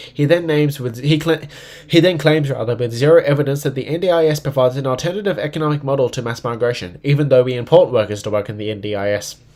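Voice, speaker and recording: A man's fairly high voice with an Australian accent at a very fast pace, with ordinary pitch variation. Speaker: political livestreamer. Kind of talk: live stream commentary.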